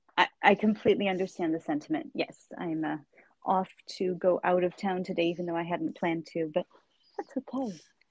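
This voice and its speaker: This woman has an ordinary speaking voice, medium in pitch, with an American accent and ordinary pitch variation at a fairly quick pace. The sound is dry and close with no echo. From United States. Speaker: podcast host and interpreter. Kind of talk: interview.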